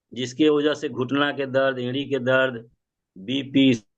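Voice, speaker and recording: This man has a plain, everyday voice, fairly high in pitch, with fairly even intonation. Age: 60s. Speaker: club member sharing results. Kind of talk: testimony.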